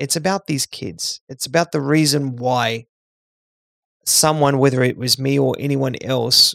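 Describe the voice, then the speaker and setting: In a plain, everyday voice, a man talks at a moderate pace and medium pitch, with a dry, close sound and no echo. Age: 40s. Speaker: charity CEO and founder. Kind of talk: interview. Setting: remote call.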